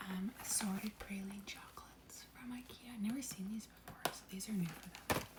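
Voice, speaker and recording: A woman whispers at a fairly quick pace. Noticeable background noise sits behind her. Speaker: lifestyle vlogger. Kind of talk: casual vlog.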